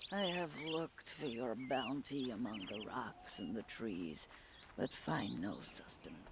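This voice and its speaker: Using a put-on character voice at a medium pitch, a man speaks at a fairly slow pace over clear background noise. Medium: video game. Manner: solemn, ritual phrasing.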